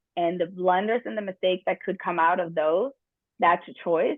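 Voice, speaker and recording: A woman speaks with a European accent. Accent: noticeable European. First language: not English. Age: 50s. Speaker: workshop presenter, business trainer. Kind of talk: workshop talk. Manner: occasional stumbling on words.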